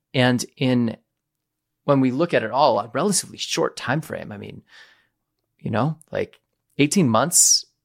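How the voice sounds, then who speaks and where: The speaker has an enthusiastic tone with vocal fry, a moderate pace, and ordinary pitch variation, recorded very cleanly against a silent background with a dry, close sound and no echo. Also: man. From New England. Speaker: podcast host, nurse coach trainer. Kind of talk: interview conversation.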